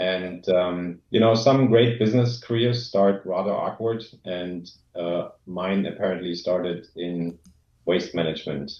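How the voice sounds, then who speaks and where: A man speaks in a German accent at a fairly slow pace. His pitch is very deep and low, with ordinary variation. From East Germany. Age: 40s. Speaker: former exchange student speaking at a club. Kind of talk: presentation. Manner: hesitant, many fillers.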